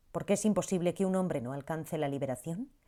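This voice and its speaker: With a dark, mellow tone and fairly low pitch, a woman speaks using lively intonation in a very clean recording with a silent background. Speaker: audiobook narrator. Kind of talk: audiobook narration, reflective reading.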